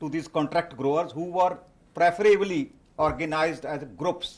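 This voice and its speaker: Loud and high-pitched, a man speaks at a fairly slow pace with ordinary pitch variation. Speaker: professor and conference speaker. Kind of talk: conference talk. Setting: conference stage.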